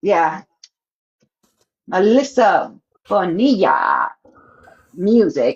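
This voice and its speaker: A woman talks at a very slow pace, leaving long, frequent pauses. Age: 60s. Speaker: interviewer co-host. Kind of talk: live-stream interview chat.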